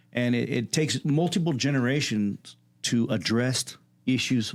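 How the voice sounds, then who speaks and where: A man's ordinary speaking voice, medium in pitch with lively intonation, on a very clean recording with a silent background. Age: 40s. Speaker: podcast host and community leader. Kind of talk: casual interview. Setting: studio.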